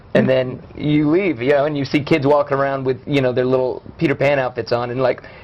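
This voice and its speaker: With an American accent and a fairly high pitch, a man talks at a fairly quick pace with hardly any pauses over noticeable background noise. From US South, Louisiana (Shreveport area). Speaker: actor and director. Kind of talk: casual interview chat. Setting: live show interview. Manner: animated.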